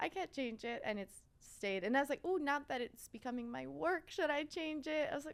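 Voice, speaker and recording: A woman speaks at a fairly quick pace with a Quebec accent. Her pitch is high and swings very widely. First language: French. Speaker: fashion content creator. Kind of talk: podcast interview. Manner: casual, filler-heavy.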